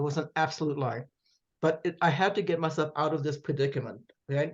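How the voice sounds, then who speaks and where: A woman with a German accent. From Germany, then Canada and New York City. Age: 70s. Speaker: author. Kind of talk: interview, personal storytelling. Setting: podcast interview. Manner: occasional stammering repetitions.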